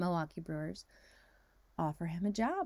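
Over a silent background in a very clean recording, a woman speaks in an animated tone with an American accent. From Northern California and Texas. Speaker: podcast host and life coach. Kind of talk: personal storytelling monologue.

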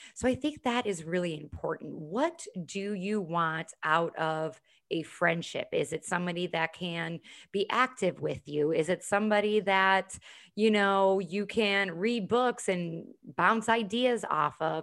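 A woman with an American accent and an ordinary speaking voice, medium in pitch with ordinary pitch variation, at a fairly slow pace, in a very clean recording with a silent background. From US Midwest, Chicago. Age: 30s. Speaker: women's events host and fitness instructor. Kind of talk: podcast interview.

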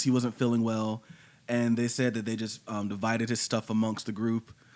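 On a very clean recording with a silent background, a man speaks fairly quickly in an ordinary speaking voice at medium pitch. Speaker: podcast host. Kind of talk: casual chat. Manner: joking, does silly Russian accent.

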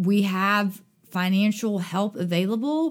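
Recorded very cleanly against a silent background, a woman speaks at a fairly high pitch with a Southern US accent. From US South, Dothan, Alabama. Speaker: summer camp director. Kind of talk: interview conversation. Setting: recording at a synagogue. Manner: animated.

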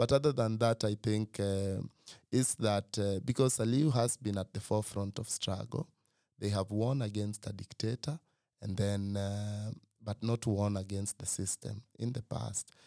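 In a Kenyan accent, a man speaks at a moderate pace and fairly low pitch. The recording is very clean and dry, close with no echo, over a silent background. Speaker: writer and organizer. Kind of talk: casual chat.

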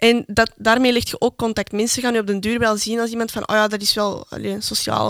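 Speaking at a very fast pace, a woman with a fairly high pitch comes through with a dry, close sound and no echo. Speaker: podcast co-host, student. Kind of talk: casual chat.

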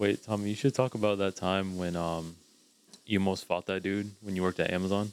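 With an American accent, a man of very deep, low pitch keeps his intonation fairly even, the sound dry and close with no echo. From St. Petersburg, Florida. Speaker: podcast co-host. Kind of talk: casual banter.

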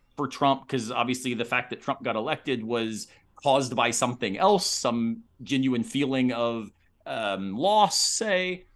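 The voice is an unremarkable speaking voice. It moves at a fairly slow pace with lively intonation. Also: man. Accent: American. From Florida (Tampa), US South. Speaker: philosophy professor and podcaster. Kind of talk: casual interview conversation.

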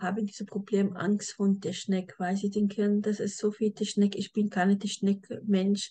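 A woman's somewhat breathy voice at medium pitch, with monotone, flat intonation. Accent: non-native. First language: not German (speaking German). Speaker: podcast host, e-commerce agency owner. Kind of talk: podcast interview.

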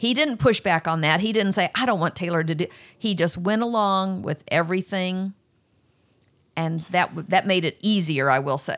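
In a very clean recording with a silent background, a woman with a plain, everyday voice speaks at a moderate pace, her pitch medium and its variation ordinary. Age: 60s. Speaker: host's mother. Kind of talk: interview.

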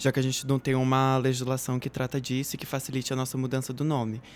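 A man rattles off his words extremely quickly in a rather high register. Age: 20s. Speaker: activist, actress and law student. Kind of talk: casual chat.

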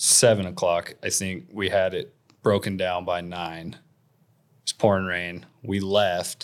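A very deep, low male voice, monotone and flat, at a very slow pace, on a very clean recording with a silent background. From Wyoming. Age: 30s. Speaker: hunter and fly fisherman. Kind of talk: casual chat.

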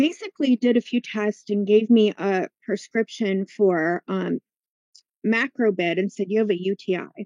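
In an ordinary speaking voice, the talk goes at a moderate pace with fairly even intonation and a dry, close sound with no echo. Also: woman. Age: 50s. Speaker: healer and teacher. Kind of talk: testimony.

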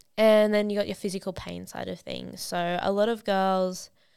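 The recording is very clean with a silent background. A woman with a plain, everyday voice speaks at a moderate pace with fairly even intonation. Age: 20s. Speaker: podcast host and heavy vehicle mechanic. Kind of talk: casual solo podcast talk.

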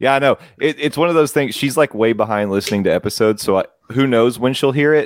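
Delivered at a very fast pace, the voice has an animated tone, very even loudness and ordinary pitch variation in a dry, close sound with no echo. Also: man, medium pitch for a man. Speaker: podcast host. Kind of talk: casual chat. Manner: friendly, animated.

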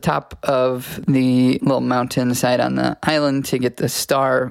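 Intonation stays monotone and flat throughout. The man's pitch sits in a medium range. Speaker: podcast co-host. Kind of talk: casual chat.

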